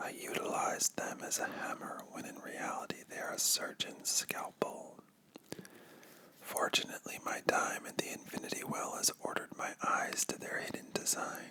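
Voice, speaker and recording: A man is whispering over noticeable background noise. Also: moderate pace. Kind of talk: ASMR comic book reading. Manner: whispered.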